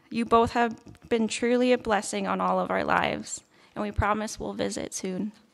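A woman speaks with a Canadian accent. Her pace is moderate. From Red Deer, Alberta; Alberta, Canada. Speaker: nursing graduate. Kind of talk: valedictory speech. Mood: grateful, warm. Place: stage. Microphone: podium.

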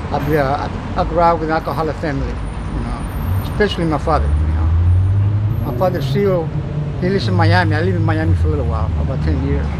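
Loud background noise surrounds a man who speaks very fast. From Cuba and Spain. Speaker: homeless man. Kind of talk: interview answer. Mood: candid, reflective. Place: street. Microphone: phone near.

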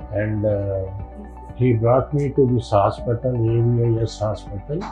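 Clear music plays as a man speaks at a very slow pace. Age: 70s. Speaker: retired college lecturer. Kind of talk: patient testimonial. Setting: hospital. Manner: hesitant, many fillers.

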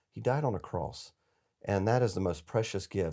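Talking very fast with an Appalachian accent, a man has a dark, mellow tone. His pitch varies in an ordinary way against a quiet background. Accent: Southern US (Appalachian North Carolina). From US South, western North Carolina mountains. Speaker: charity executive, former army officer. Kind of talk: casual interview. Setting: studio. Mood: earnest, reflective. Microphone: lapel.

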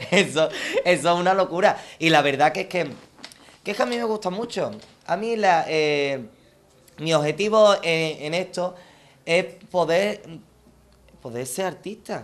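Taking a fairly slow pace, a man talks at a high pitch. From Andalusia, Palma del Río (Córdoba); Andalusia, Spain. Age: 20s. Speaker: copla singer; TV interviewee. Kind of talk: self-presentation monologue. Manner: halting, many repetitions; animated. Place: garden.

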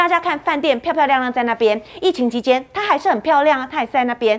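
A woman's high-pitched voice. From Taiwan. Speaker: TV news talk show host. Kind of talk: political talk show. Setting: studio. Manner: animated. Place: studio.

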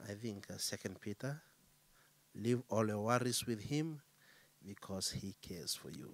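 Pitched fairly low, a man talks at a fairly slow pace. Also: ordinary pitch variation.

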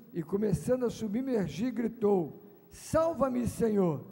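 Lively intonation runs through this man's dark, mellow tone. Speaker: preacher. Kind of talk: sermon scripture reading and prayer. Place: stage. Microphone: handheld.

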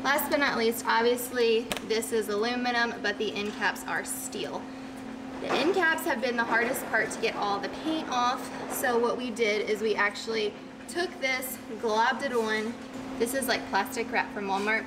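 Over noticeable background noise, a woman talks at a moderate pace. Her pitch varies in an ordinary way. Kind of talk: tutorial. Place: workshop. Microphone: camera far.

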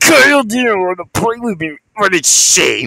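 A put-on character voice with fairly high pitch moves along at a moderate pace. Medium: machinima. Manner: manic, mocking.

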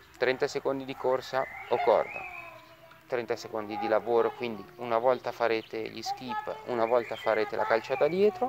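Noticeable background noise sits behind a man talking in a dry sound with no echo. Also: moderate pace. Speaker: fitness instructor. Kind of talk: tutorial. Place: garden.

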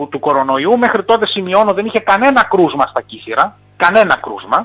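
A man's high voice with very wide pitch swings at a moderate pace. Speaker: mayor calling in to radio. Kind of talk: interview answer. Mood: indignant, emphatic.

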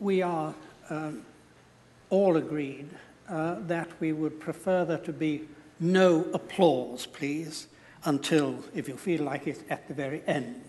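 Very slow pace from a man, broken by long, frequent pauses. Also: fairly even intonation. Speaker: debate chair. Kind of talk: formal moderator remarks. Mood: calm, polite, slightly humorous. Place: hall. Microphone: lapel.

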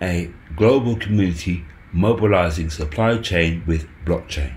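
Very slowly, a man speaks in a very deep, low, somewhat breathy voice with lively intonation. Room echo is audible. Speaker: crypto YouTuber. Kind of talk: casual video commentary. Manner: halting, many fillers.

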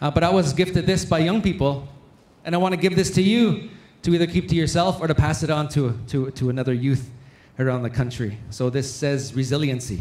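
Audible room echo surrounds a man's somewhat breathy voice. His pitch is fairly high with ordinary variation, and his pace is fairly quick. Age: 40s. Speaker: conference emcee and storyteller. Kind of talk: emcee announcements and closing remarks. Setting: stage with audience. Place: hall. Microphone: handheld.

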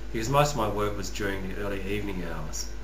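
Noticeable background noise behind a man talking. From Western Australia, rural (Northam). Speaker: YouTuber, customer service worker. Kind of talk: personal vlog monologue. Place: home room. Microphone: webcam.

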